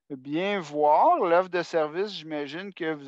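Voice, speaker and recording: The speech unfolds at a very slow pace against a quiet background. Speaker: adult education support coordinator. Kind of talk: work meeting presentation. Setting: video call.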